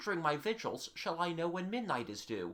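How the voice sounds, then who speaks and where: Using a put-on character voice, a man talks at a fairly quick pace with a high pitch and very wide pitch swings. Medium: read story. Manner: earnest, eager.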